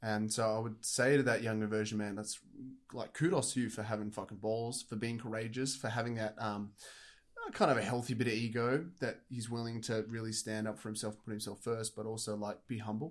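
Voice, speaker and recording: A man with an Australian accent speaks at a medium pitch. His pace is fairly quick and his intonation flat and monotone. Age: 20s. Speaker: fitness podcast co-host. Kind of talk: casual chat.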